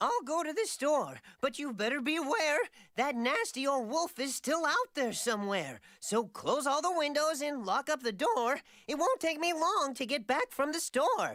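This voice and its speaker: In a cartoonish character voice, someone talks at a moderate pace with a high pitch. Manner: prim, rhyming speech.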